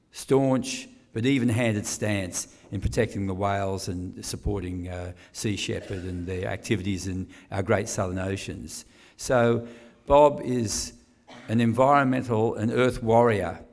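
A man with a normal speaking voice talks at a fairly slow pace and fairly low pitch, with ordinary pitch variation. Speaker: guest. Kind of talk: speech introduction. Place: hall. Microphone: podium.

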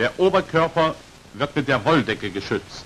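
Here a man talks at a moderate pace. His tone is fairly bright, and his pitch swings widely. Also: medium pitch for a man.

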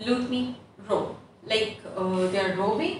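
Audible room echo and light background noise surround a woman speaking at a moderate pace with ordinary pitch variation. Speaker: English teacher. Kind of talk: online lesson. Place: classroom. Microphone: camera far.

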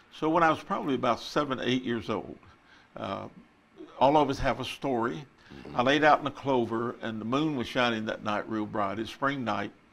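Vocal fry marks a man's moderate-paced speech with a Texan accent. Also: medium pitch for a man, ordinary pitch variation. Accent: Texan Southern US English. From Texas. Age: 80s+. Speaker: retired pastor. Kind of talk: testimony. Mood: calm, reflective. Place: studio. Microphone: lapel.

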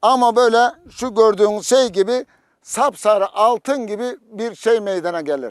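Very slow in pace, a man speaks in a high pitch. The sound is dry and close, with no echo. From Toroslar, Mersin, Turkey. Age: 60s. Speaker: farmer. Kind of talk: interview. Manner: hesitant with fillers.

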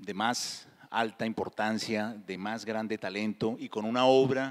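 The pace is very slow. The background stays quiet. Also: man. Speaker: moderator. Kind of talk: event introduction before an on-stage interview. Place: stage. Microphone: handheld.

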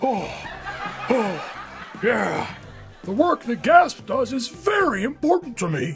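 A cartoonish character voice with a fairly high pitch moves at a fairly slow pace. Clear background noise runs behind it. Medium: puppet. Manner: out of breath, folksy.

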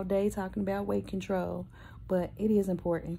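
Light background noise sits behind a woman with a dark, mellow tone. She is somewhat breathy, and her intonation is monotone and flat. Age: 50s. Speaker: vlogger with a prosthetic leg. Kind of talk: casual vlog talk to camera. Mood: earnest, animated storytelling. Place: home room. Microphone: phone near.

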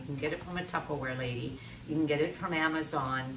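The speech runs at a fairly quick pace with noticeable background noise. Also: woman. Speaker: cooking demonstrator and author. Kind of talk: cooking tutorial. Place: kitchen.

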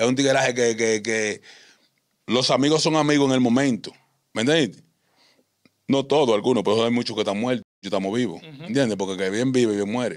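Over a quiet background, a man talks at a fairly quick pace with ordinary pitch variation. He leaves long, frequent pauses, and his loudness swings widely. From Dominican Republic, San Juan countryside, raised in Santo Domingo; Dominican Republic. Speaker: ex-convict; interview guest. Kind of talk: interview, life story. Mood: calm, reflective storytelling. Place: studio. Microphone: studio mic.

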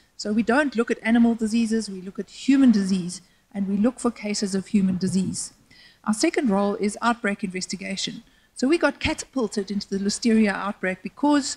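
Somewhat breathy, a woman speaks at a fairly quick pace with ordinary pitch variation. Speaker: public panelist. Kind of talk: panel presentation. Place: hall. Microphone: handheld.

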